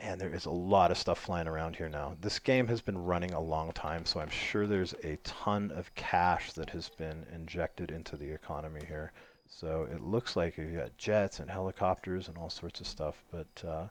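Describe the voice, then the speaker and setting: Speaking with an American accent at a moderate pace, a man with a very deep, low voice uses ordinary pitch variation and hardly any pauses. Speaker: game mod developer and streamer. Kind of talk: live game stream commentary. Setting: live stream while playing online. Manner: casual, filler-heavy with many ums and restarts.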